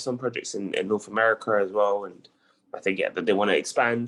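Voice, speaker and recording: Spoken with a strong British accent at a moderate pace, the voice sits over a quiet background. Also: man. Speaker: community program member presenting a lead. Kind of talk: casual online meeting discussion. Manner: hesitant, many fillers and repeats.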